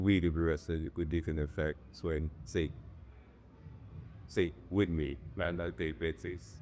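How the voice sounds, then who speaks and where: A man speaks at a very deep, low pitch with vocal fry and ordinary pitch variation. His pace is fairly slow, with long, frequent pauses. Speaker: music producer. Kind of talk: interview answer.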